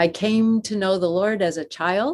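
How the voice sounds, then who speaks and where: Talking fairly slowly in an American accent, a woman with an unremarkable speaking voice and medium pitch uses lively intonation. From US Northeast (Western New York). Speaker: seminary professor of Old Testament. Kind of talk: interview.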